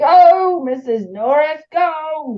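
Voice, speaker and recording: A woman puts on a raspy character voice at high pitch. Her intonation is lively. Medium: read story. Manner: rambling, muttering.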